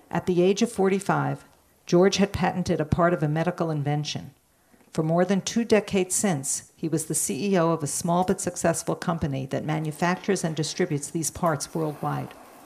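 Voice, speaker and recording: A woman with an unremarkable speaking voice speaks at a moderate pace in a fairly low pitch, with fairly even intonation, on a very clean recording with a silent background. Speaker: volunteer reader. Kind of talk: reading aloud a story.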